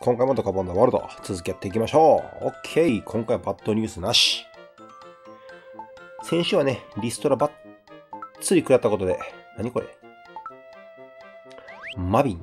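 With a Kansai accent, a man at medium pitch speaks with lively intonation, big swings in loudness and long, frequent pauses while music plays in the background. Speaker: game streamer. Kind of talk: let's play commentary. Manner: casual, chatty.

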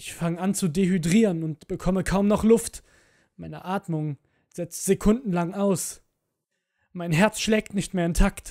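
A fairly slow pace with long, frequent pauses, in a very clean recording against a silent background. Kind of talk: scripted horror narration. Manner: slow, suspenseful, hushed, dramatic.

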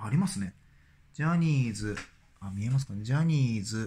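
A somewhat breathy male voice with very wide pitch swings over light background noise. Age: 40s. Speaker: dentist and YouTuber; YouTuber. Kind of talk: casual vlog monologue. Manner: hesitant, many fillers. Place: home room. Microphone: phone near.

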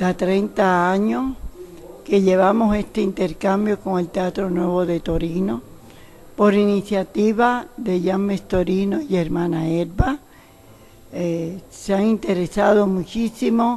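Very slowly, a woman talks. Her pitch moves in an ordinary way. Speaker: ballet teacher. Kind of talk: interview answer. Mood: calm, reflective. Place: hall. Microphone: webcam.

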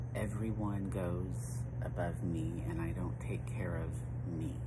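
There is music in the background. A man speaks with ordinary pitch variation. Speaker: personal vlogger. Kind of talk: casual reflective vlog monologue. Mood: reflective, personal, hesitant. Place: garden. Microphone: phone near.

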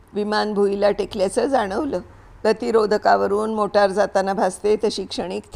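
Plain reading aloud, intonation fairly even throughout.

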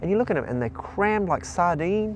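A man's voice over light background noise, with a dry sound and no echo. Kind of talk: interview answer. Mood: earnest, moved. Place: waterside. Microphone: lapel.

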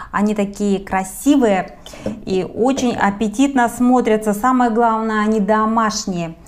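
With ordinary pitch variation, a woman talks in a plain, everyday voice. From Siberia, Russia. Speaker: cooking video host. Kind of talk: cooking tutorial. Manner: warm, friendly address to viewers.

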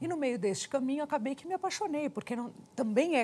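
Fairly quick speech from a woman, with lively intonation. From Brazil. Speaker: TV interviewer. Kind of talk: interview. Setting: studio. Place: studio. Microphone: lapel.

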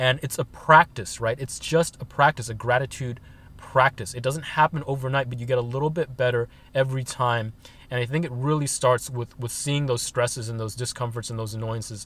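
A man's fairly quick, fairly evenly intoned speech, dry with no echo. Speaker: van-life vlogger. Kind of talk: casual vlog chat. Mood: calm, reflective. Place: car. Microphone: phone near.

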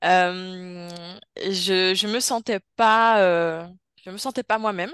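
A woman speaks at a medium pitch with fairly even intonation. The sound is dry with no echo, and the background is quiet. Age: 20s. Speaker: hypnosis subject, osteopath; interviewee. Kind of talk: personal testimony. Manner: halting, many hesitations. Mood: calm, reflective storytelling. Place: home room. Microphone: video call.

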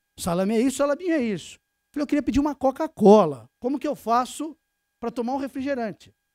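A man talking very fast with a São Paulo accent, extremely high in pitch yet dark and mellow in tone, with ordinary pitch variation and a quiet background. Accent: São Paulo Brazilian Portuguese. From Brazil, São Paulo. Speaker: tax lawyer, lecturer. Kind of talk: conference lecture. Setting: stage with audience. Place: meeting room.

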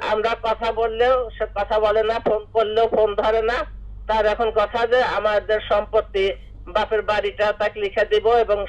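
Through noticeable background noise, a woman speaks with monotone, flat intonation and very even loudness. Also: fairly high pitch for a woman. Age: 60s. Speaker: caller. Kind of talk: phone-in question. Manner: halting.

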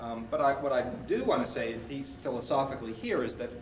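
Very fast speech from a man, with audible room echo and light background noise. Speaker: speaker. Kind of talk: lecture. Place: hall. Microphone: old recording.

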